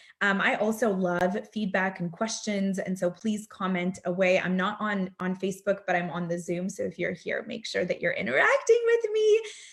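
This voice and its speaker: A woman at a moderate pace with hardly any pauses, over noticeable background noise. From Russia, moved to US at eight. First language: Russian. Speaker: direct sales director, counselor. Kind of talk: motivational talk. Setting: video call. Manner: casual, with frequent fillers.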